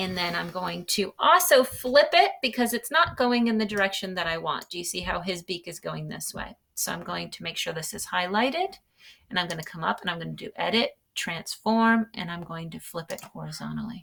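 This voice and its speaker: A woman at a fairly quick pace with hardly any pauses and big swings in loudness. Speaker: teacher. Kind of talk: tutorial. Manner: fast.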